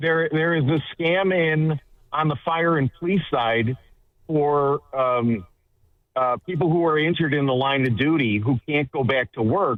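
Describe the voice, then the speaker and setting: Using a normal speaking voice, a man with an American accent talks at a fairly high pitch with ordinary variation and very even loudness. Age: 60s. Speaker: caller, city worker. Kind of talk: call-in conversation.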